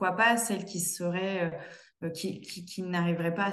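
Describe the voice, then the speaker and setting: A woman's fairly low voice with fairly even intonation and audible room echo. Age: 20s. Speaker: interior designer. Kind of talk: testimony. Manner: halting. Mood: warm, grateful. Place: home room. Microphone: video call.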